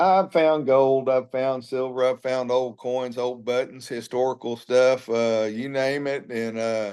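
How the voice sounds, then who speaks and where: In a Texan accent, a man with a medium pitch and a dark, mellow tone speaks at a fairly slow pace with fairly even intonation and hardly any pauses. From Texas, Alvin near Houston. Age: 60s. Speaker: former cattle rancher, animal sanctuary founder. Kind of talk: interview.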